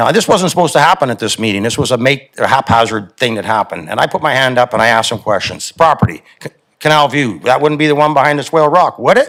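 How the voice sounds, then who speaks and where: A man speaks at a very fast pace with hardly any pauses. His medium pitch carries lively intonation. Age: 60s. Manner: impassioned.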